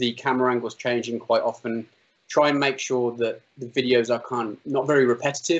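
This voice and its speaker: A man with an English Midlands accent talks at a fairly quick pace in a medium pitch. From English Midlands, Solihull near Birmingham. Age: 30s. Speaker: drone pilot and video maker. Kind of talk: interview.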